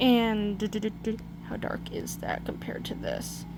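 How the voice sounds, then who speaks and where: A woman is speaking. Noticeable background noise and audible room echo surround her. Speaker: digital art tutorial maker. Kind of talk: tutorial. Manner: hesitant, many fillers.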